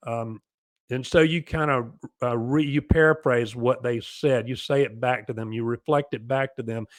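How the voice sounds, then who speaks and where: Speech at a moderate pace with fairly even intonation, dry and close with no echo, on a very clean recording with a silent background. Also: man, medium pitch for a man. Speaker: family recovery coach. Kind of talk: advice talk. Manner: halting, many fillers.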